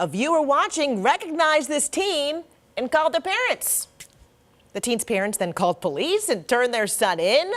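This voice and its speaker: With noticeable background noise, a woman with an American accent talks at a moderate pace, her pitch swinging very widely. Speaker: news anchor and reporter. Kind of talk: local TV news anchoring.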